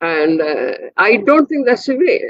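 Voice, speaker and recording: Her voice is high, with very wide pitch swings and a Bengali accent. The woman keeps a moderate pace. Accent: Indian English, Bengali. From India, Kolkata. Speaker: physicist, professor. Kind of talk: interview conversation.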